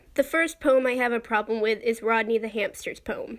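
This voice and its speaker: A soft-spoken woman talks fairly quickly at a high pitch with ordinary pitch variation, in a very clean recording with a silent background. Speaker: YouTuber, toy collector. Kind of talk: casual vlog commentary.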